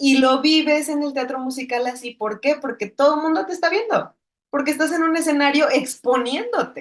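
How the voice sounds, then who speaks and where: Using ordinary pitch variation, a woman speaks at a high pitch and a moderate pace. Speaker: filmmaker. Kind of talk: interview.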